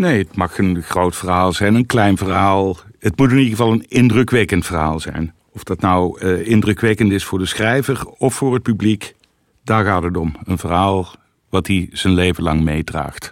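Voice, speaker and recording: The speaker has an unremarkable speaking voice with ordinary pitch variation. The pace is moderate. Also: man, fairly low pitch for a man. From North Brabant. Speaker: former magazine editor-in-chief, co-host. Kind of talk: casual interview. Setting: studio.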